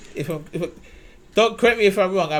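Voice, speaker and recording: A man with a London accent, high-pitched and animated, at a fairly quick pace. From London, England. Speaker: basketball commentator YouTuber. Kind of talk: casual video commentary.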